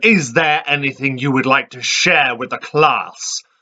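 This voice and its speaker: A booming, put-on character voice at a moderate pace with ordinary pitch variation and big swings in loudness. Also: man, fairly high pitch for a man. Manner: intimidating.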